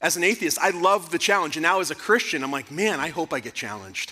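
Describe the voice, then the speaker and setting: In a very clean recording with a silent background, a man speaks loudly at a very fast pace with a bright, sharp tone. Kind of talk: conference talk to parents. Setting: church conference with audience. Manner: animated.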